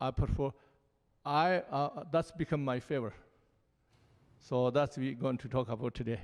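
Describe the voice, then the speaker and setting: Here a man speaks with a Tibetan accent. His pitch varies in an ordinary way. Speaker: Buddhist lama. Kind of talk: panel dialogue. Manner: halting.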